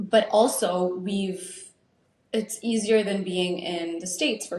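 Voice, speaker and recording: Moderately paced speech in an ordinary speaking voice, its pitch varying in an ordinary way. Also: woman. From Saudi Arabia, Lebanese-American family. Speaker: podcast co-host. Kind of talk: casual chat.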